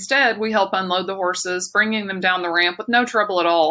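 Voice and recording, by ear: The passage is read aloud in a natural voice.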